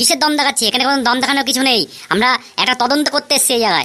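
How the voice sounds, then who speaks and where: In a cartoonish character voice, a woman speaks at a high pitch and a very fast pace. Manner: firm, dismissive.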